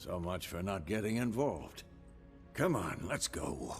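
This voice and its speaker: Putting on a raspy character voice at a fairly low pitch, a man speaks at a moderate pace in a calm tone with lively intonation, while music plays clearly in the background. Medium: video game. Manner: calm, measured.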